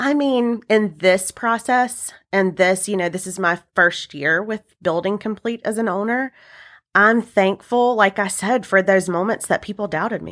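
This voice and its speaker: A woman with an unremarkable speaking voice talks at a fairly slow pace and medium pitch on a very clean recording with a silent background. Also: ordinary pitch variation. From US South, upstate South Carolina. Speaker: wedding and event business owner. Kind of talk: interview.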